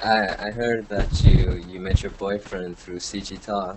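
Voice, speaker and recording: With noticeable background noise behind him, a man speaks in a monotone, flat intonation at a fairly low pitch and moderate pace. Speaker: podcast host. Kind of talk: casual interview.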